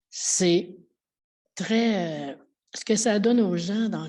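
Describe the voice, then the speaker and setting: The recording is very clean, with a silent background. A woman speaks in a dark, mellow tone with ordinary pitch variation. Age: 70s. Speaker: church volunteer. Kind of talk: testimony. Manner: halting.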